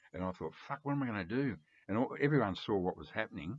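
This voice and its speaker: Lively intonation from a male speaker with an Australian accent. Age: 70s. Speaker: record collector vlogger. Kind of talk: casual vlog monologue. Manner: rambling with many fillers.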